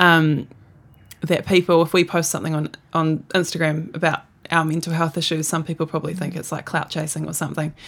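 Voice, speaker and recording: Speaking fairly quickly in a New Zealand accent, a woman keeps a fairly low pitch and a monotone, flat intonation. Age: young. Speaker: netball player. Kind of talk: interview.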